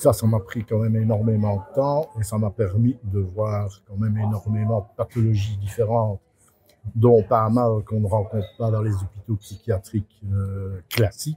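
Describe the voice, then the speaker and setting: In a Belgian accent, a man speaks fairly slowly in a flat monotone, his fairly low voice somewhat breathy with a dark, mellow tone. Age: 70s. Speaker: neuropsychiatrist. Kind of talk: interview. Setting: hospital cafeteria.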